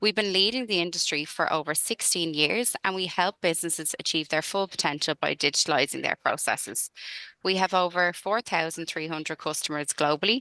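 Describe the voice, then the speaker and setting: A bright, sharp tone in a Dublin accent, set against a quiet background. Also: woman, fairly low pitch for a woman, ordinary pitch variation, fairly quick pace, dry sound with no echo. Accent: Irish (Dublin). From Ireland, Dublin. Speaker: sales consultant. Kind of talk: webinar presentation. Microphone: video call.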